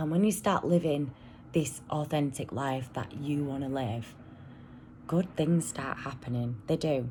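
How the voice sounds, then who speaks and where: With a British accent, a woman speaks fairly slowly in a very deep, low voice with a dark, mellow tone. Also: ordinary pitch variation. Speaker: vlogger, single mum. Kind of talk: casual vlog monologue. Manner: rambling, hesitant with ums; loud at times.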